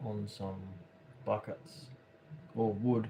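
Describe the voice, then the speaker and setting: Here a man speaks with an Australian accent. His pitch sits in the medium range. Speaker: craft livestreamer. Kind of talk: casual livestream commentary while painting. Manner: halting, many fillers and repeats.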